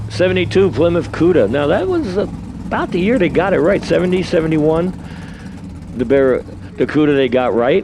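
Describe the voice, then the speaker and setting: With a New York accent and lively intonation, a man talks at a moderate pace and fairly high pitch, his loudness very even, over noticeable background noise. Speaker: drag race announcer. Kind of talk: live commentary.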